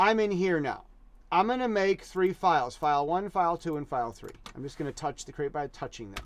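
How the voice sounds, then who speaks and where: This man talks at a fairly quick pace in a high pitch, with lively intonation and an animated tone. His loudness swings widely. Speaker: teacher. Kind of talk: tutorial. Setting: live stream. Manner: fast.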